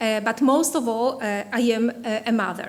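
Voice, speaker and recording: A woman with a Polish accent speaks at a fairly slow pace in a fairly high pitch. Room echo is audible. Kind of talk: conference keynote. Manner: halting, many fillers.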